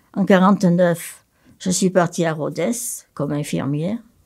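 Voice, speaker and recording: In a very clean recording with a silent background, a woman with a fairly low pitch and a dark, mellow tone talks at a moderate pace with vocal fry. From France, Haute-Loire. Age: 80s+. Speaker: nun and retired psychiatric nurse. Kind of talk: testimony.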